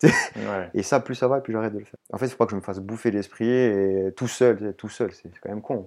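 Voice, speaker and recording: Rattling along at a very fast pace, a man speaks at a medium pitch with ordinary pitch variation. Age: 30s. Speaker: trail runner and urban planner. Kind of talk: interview. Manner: halting.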